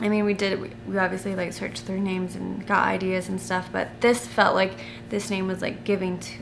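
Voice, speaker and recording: A woman's speech comes with audible room echo and noticeable background noise. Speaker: family vlogger. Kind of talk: casual Q&A chat to camera. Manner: halting, self-correcting with many fillers.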